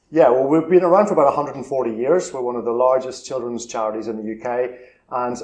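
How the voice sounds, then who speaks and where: This man speaks very fast with a Northern Irish accent. His voice sits at a medium pitch. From Northern Ireland, Belfast. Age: 50s. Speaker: charity chief executive. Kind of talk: interview.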